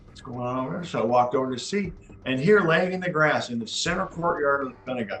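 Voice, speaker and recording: With music in the background, a man with an American accent talks at a very fast pace and fairly high pitch, using lively intonation and big swings in loudness. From Wisconsin, USA. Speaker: army officer, Wisconsin National Guard veteran. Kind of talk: oral history interview answer.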